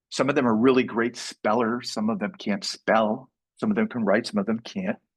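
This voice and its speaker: Here a man has a normal speaking voice with a medium pitch and lively intonation. He goes at a moderate pace, and the sound is dry and close with no echo. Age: 60s. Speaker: entrepreneur workshop speaker. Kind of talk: live workshop talk. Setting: live event with audience.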